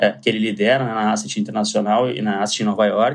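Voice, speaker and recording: At a fairly quick pace, a man with a medium pitch talks with ordinary pitch variation and vocal fry. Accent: Porto Alegre. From southern Brazil, Porto Alegre. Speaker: asset management executive. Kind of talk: podcast interview. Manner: halting, with frequent repetitions.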